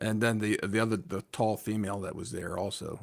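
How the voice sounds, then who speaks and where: The man has an unremarkable speaking voice with an American accent and a fairly low pitch. He talks at a moderate pace with fairly even intonation. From United States. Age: 50s. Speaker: crypto channel host. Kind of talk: interview. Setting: live stream.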